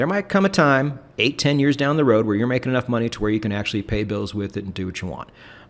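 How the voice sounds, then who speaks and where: At a very fast pace, a man speaks with medium pitch on a very clean recording with a silent background. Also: lively intonation. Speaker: YouTuber and trading educator, podcast host. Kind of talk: podcast conversation. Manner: frequent ums and repeated words.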